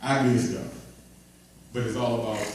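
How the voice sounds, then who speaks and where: Speaking fairly quickly with fairly even intonation, a man is heard through audible room echo and noticeable background noise. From Baltimore, Maryland. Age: 30s. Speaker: motivational speaker, former NFL player. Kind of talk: motivational talk to young men. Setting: live event with audience. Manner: repetitive, conversational.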